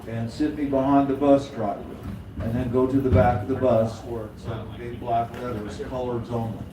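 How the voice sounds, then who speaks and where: A man with an American accent talks at a moderate pace and medium pitch, his intonation fairly even. Noticeable background noise and audible room echo fill the recording. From Oklahoma, US. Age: 80s+. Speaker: blues singer and harmonica player. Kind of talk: storytelling to audience. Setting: stage with audience.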